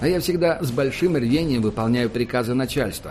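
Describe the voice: What you hear is plain reading aloud.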